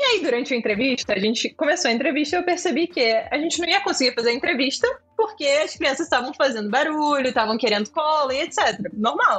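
Over noticeable background noise, a woman with a high pitch and lively intonation talks very fast, with hardly any pauses. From Georgia, raised in Rio de Janeiro from childhood. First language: Georgian (speaking Portuguese). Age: 20s. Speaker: tech startup executive. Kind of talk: interview.

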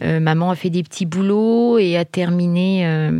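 Over noticeable background noise, a woman speaks in a calm tone at a fairly slow pace. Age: 40s. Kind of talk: testimony. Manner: halting, hesitant.

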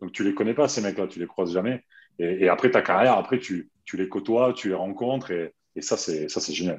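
A man talks in an ordinary speaking voice at a fairly quick pace, fairly low in pitch with ordinary pitch variation, over a quiet background. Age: 40s. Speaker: retired handball player. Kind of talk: casual chat.

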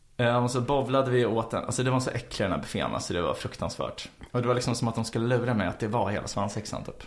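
The man talks at a very fast pace. Noticeable background noise runs underneath. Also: medium pitch for a man, fairly even intonation, hardly any pauses. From Sweden, Stockholm. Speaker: podcast co-host. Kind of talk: casual chat. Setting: studio, in person.

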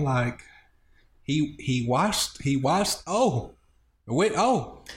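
A very slow, somewhat breathy delivery with very wide pitch swings, in an American accent. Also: man. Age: 30s. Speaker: podcast co-host. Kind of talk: casual chat. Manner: animated.

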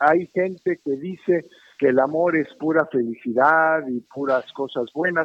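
A man with an unremarkable speaking voice talks at a fairly slow pace and a fairly high pitch, with ordinary pitch variation. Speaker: caller, listener. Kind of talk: phone call comment. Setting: phone call.

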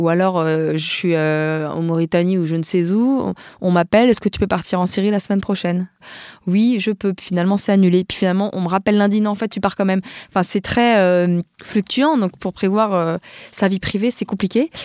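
Recorded very cleanly with a silent background and a dry, close sound with no echo, a woman of medium pitch speaks at a moderate pace with ordinary pitch variation. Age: 30s. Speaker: war photojournalist. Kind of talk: interview. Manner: halting.

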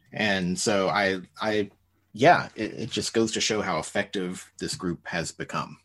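A man with a normal speaking voice talks at a fairly slow pace, his fairly low pitch moving with ordinary variation. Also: quiet background. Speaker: podcast co-host, teacher. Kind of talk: casual chat.

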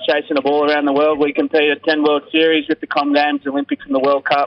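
In a strong Australian accent, a man speaks at a fairly high pitch. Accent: broad Australian. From Australia, rural New South Wales (Braidwood). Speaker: rugby sevens player. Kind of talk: interview. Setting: phone call.

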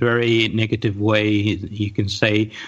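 A man speaks at medium pitch with a Saudi accent. His intonation is monotone and flat. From Saudi Arabia, Riyadh. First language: Arabic. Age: 40s. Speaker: podcast panelist. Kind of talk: casual chat.

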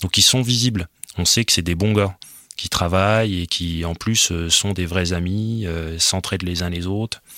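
A man with a very deep, low pitch talks at a fairly slow pace, keeping his intonation fairly even. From rural north-eastern France (Haute-Marne area). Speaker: sociologist. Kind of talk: interview. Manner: halting.

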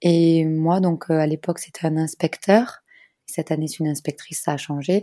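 Recorded very cleanly against a silent background, a woman with a fairly low pitch and a dark, mellow tone talks at a moderate pace with fairly even intonation, the sound dry and close with no echo. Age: 30s. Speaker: schoolteacher and bereaved mother. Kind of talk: personal testimony interview. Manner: hesitant with many fillers.

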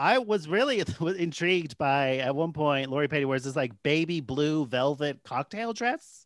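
On a very clean recording with a silent background, a man with a fairly high pitch talks at a moderate pace with lively intonation and hardly any pauses. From San Jose, California. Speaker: podcast co-host. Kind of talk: casual chat. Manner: animated.

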